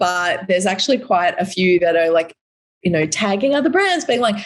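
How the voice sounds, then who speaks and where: In an Australian accent, a woman speaks with lively intonation at a moderate pace. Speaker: recycling company representative. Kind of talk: podcast interview. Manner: animated.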